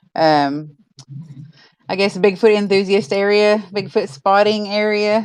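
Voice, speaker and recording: A woman with a Southern US accent talks at a fairly slow pace with long, frequent pauses, a medium pitch, and ordinary pitch variation. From Oklahoma. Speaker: podcast host. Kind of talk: casual chat.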